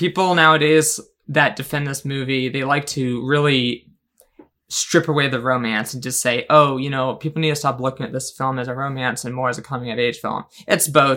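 A man with a fairly high pitch and an ordinary speaking voice talks at a fairly quick pace. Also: fairly even intonation. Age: 20s. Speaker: podcast co-host. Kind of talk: casual chat.

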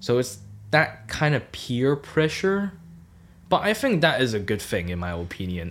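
At a moderate pace and medium pitch, a man with a Cantonese accent speaks in very wide pitch swings over a very clean recording with a silent background. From Hong Kong. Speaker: student podcast co-host. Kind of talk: casual chat.

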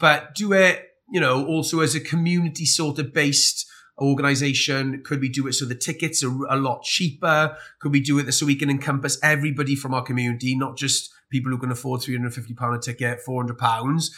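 A man with a South Welsh accent talks at a very fast pace in a bright, sharp tone, with fairly high pitch and fairly even intonation. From South Wales. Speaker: army veteran and fitness business owner. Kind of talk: interview. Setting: recorded in Scotland.

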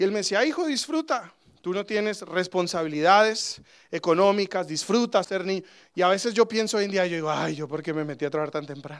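In a very clean recording with a silent background, a man talks at a high pitch with lively intonation. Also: fairly quick pace. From Colombia. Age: 30s. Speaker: pastor. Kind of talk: sermon.

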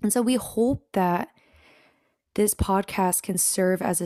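A woman with an American accent and a dark, mellow tone, very slow with ordinary pitch variation, in a dry, close sound with no echo on a very clean recording with a silent background. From US Pacific Northwest (Washington state). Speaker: podcast co-host, seminary student. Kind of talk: casual chat.

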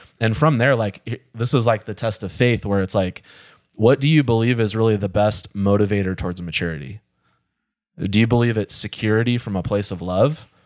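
Using an ordinary speaking voice, a man talks at a fairly quick pace with fairly low pitch and ordinary pitch variation. The recording is very clean with a silent background. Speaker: pastor. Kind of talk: casual chat. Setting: studio.

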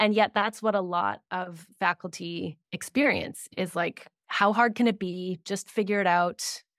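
An ordinary speaking voice comes from a woman with a Canadian accent, medium pitch and fairly even intonation, moving at a fairly slow pace with hardly any pauses. The recording is very clean and dry, close with no echo and a silent background. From Canada. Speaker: grant writing consultant. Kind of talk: interview conversation.

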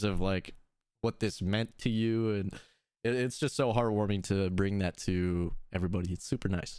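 A man speaks at a moderate pace with a normal speaking voice. His pitch sits fairly low. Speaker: podcast host. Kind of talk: casual chat about video games. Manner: casual, upbeat.

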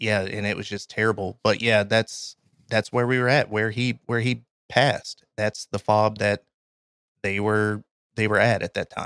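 A man with a Kentucky accent speaks at a moderate pace in a fairly low pitch with monotone, flat intonation. The recording is very clean and dry and close, with a silent background and no echo. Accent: Kentucky Southern US. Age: 30s. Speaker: army veteran and graphic designer. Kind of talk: casual interview, storytelling.

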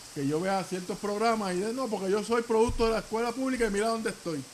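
A high-pitched man speaking at a very fast pace with ordinary pitch variation over noticeable background noise. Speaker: podcast co-host. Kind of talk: casual chat.

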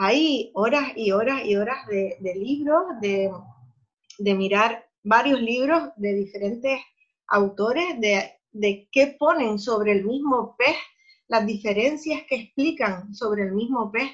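A woman talks at a very slow pace with ordinary pitch variation. Her pitch is fairly high. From Spain, Cádiz (Andalusia). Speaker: environmental educator and underwater freediving photographer. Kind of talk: interview. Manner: halting, frequent repetitions.

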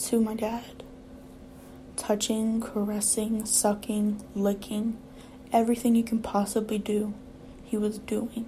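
A somewhat breathy woman's voice at a fairly high pitch, very slow, with monotone, flat intonation and long, frequent pauses. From Louisiana. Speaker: podcaster. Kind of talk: personal testimony. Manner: halting.

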